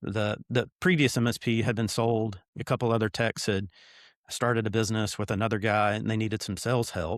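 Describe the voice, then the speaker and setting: A man with a Tennessee accent talks at a fairly quick pace, medium in pitch with fairly even intonation, on a very clean recording with a silent background. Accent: Southern US, Tennessee. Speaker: business owner, CEO. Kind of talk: interview.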